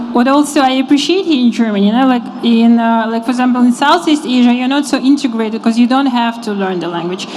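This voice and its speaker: At a very fast pace, a woman speaks with a high pitch and ordinary pitch variation over noticeable background noise. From Kazakhstan. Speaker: financial consultant. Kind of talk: panel interview.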